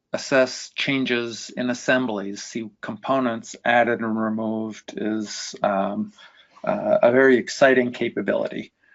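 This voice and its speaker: Here is a man with an ordinary speaking voice at medium pitch. He talks at a fairly slow pace with fairly even intonation. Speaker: industry analyst. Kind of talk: webinar Q&A answer.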